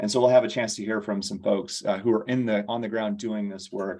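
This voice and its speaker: A dark, mellow tone at a fairly quick pace. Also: man. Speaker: co-moderator of a policy listening circle. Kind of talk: meeting moderation. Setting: video call. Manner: fast.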